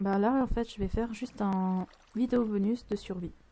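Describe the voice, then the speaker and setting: A soft-spoken woman talks at a very slow pace. Her voice is somewhat breathy, with fairly even intonation. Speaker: gaming youtuber. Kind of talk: let's play commentary. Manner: hesitant. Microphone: mic kept far from mouth, volume not set.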